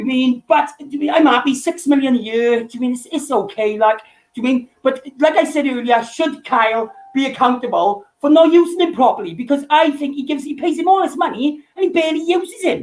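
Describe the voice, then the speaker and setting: A man speaks with a strong Welsh accent at an extremely high pitch. He talks at a fairly quick pace with ordinary pitch variation. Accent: thick Welsh. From Wales. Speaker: fan caller. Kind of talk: casual chat.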